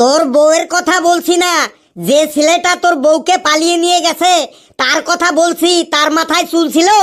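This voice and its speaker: An extremely high-pitched, cartoonish character voice talks at a moderate pace. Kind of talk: comic cartoon voice acting. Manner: bossy, fussy, rambling.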